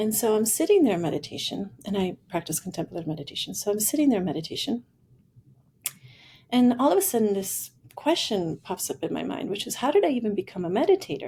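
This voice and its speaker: Very fast and somewhat breathy, a woman talks in a medium pitch with a dark, mellow tone. Her pitch swings very widely. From Italy. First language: Italian. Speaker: futurist and executive coach. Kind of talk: podcast interview, personal storytelling.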